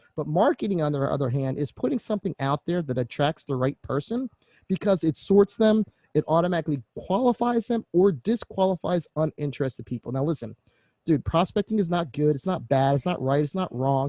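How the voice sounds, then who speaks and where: Talking at a fairly quick pace with lively intonation, a man with an American accent has a fairly high pitch and a dark, mellow tone, recorded dry and close with no echo. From Philadelphia, US. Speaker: online marketing coach. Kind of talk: online course presentation. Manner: fast; animated.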